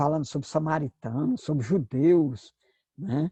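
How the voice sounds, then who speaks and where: Dry and close with no echo, a man's somewhat breathy, dark, mellow voice sits at a fairly high pitch and moves at a fairly slow pace. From Brazil, Northeast. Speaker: pastor and Bible teacher. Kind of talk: lecture. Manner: hesitant, with filler sounds.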